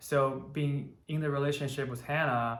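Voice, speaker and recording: A man's medium-pitched, monotone, flat delivery with a Chinese accent at a moderate pace, with audible room echo. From China, Taiyuan. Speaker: electrical engineer, channel co-host. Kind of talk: casual chat.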